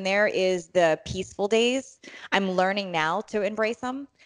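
A woman with an ordinary speaking voice, moderate pace and ordinary pitch variation, over a quiet background in dry, close sound with no echo. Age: 40s. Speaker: fitness coach and podcaster. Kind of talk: casual interview.

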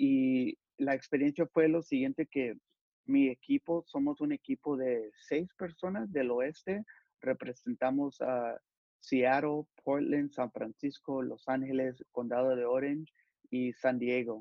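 This man talks at a very slow pace, his fairly high pitch moving with ordinary variation. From Los Angeles, California. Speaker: youth pastor and sportswear company employee. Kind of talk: interview.

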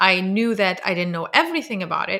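Speaking at a fairly quick pace with an Arabic accent, a woman uses a medium pitch with ordinary pitch variation and a bright, sharp tone, in a very clean recording with a silent background. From Lebanon. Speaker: game studio CEO and podcast host. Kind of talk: casual interview. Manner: animated.

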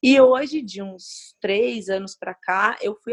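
The woman's fairly high voice shows ordinary pitch variation, recorded dry and close with no echo. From Brazil, moved around in childhood. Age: 30s. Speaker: CrossFit gym co-owner and coach. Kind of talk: interview.

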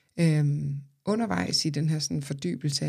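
The voice is somewhat breathy. It has a dark, mellow tone. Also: woman. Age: 30s. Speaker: podcast host and therapist. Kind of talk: personal monologue.

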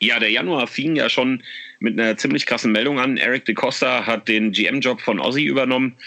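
A man's medium-pitched voice, bright and sharp, with vocal fry, ordinary pitch variation, very even loudness and a moderate pace. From Germany, Frankfurt (Oder). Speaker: fan podcast host. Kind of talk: casual chat.

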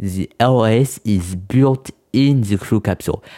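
With a French accent, a man speaks at a fairly low pitch with fairly even intonation and a dark, mellow tone, on a very clean recording with a silent background. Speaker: podcast host. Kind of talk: podcast monologue about spaceflight. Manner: halting, hesitant with many fillers; apologetic about non-native English.

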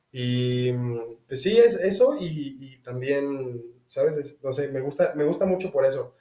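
A man talks at a fairly slow pace with a fairly high pitch and ordinary pitch variation. His voice is somewhat breathy, with big swings in loudness. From Mexico. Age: 20s. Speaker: university student and rugby player. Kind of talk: casual interview. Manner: halting, repeats words.

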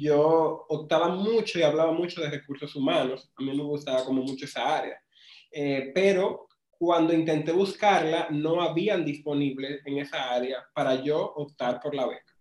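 The man's voice sits fairly high for a man, at a moderate pace. His intonation is fairly even. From Dominican Republic, rural Pimentel. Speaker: marketing agency owner. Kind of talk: casual interview. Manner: relaxed.

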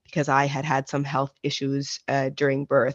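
This woman has a very deep, low pitch and a Maritime Canadian accent. She talks at a moderate pace in a dry, close sound with no echo. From Nova Scotia, Canada. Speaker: adoptee sharing her story. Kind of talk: interview testimony.

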